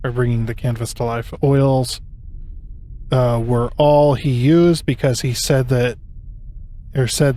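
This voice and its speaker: The speaker talks at a fairly slow pace in a Southern US accent, with a dark, mellow tone. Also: man. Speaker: gaming YouTuber. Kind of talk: gameplay commentary, reading in-game text aloud. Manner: halting, frequent self-corrections.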